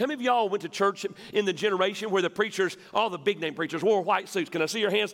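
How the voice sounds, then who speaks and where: A man with a Southern US accent, high-pitched and very fast, over noticeable background noise. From West Tennessee. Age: 50s. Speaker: pastor. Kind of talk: sermon. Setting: church.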